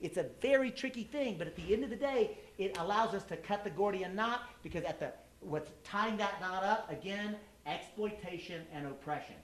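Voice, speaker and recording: Speaking with a Texan accent, a man with a high pitch and an animated tone moves at a moderate pace with lively intonation, against noticeable background noise. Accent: Texan American English. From Texas. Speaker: activist speaker, former presidential candidate. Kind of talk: public talk.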